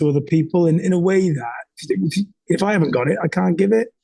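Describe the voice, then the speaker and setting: With a Welsh accent, a man speaks with ordinary pitch variation. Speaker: entrepreneur and leadership coach. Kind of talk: candid interview conversation. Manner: halting, many fillers and repeats.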